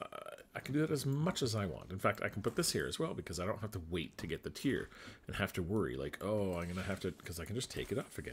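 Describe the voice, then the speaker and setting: Speaking very fast in a very clean recording with a silent background, a man with a very deep, low pitch uses lively intonation and vocal fry. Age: 40s. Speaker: gaming YouTuber. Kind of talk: gameplay commentary. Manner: casual, thinking aloud.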